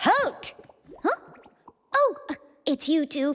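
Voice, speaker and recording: An extremely high, squeaky, put-on character voice. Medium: video game. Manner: brisk.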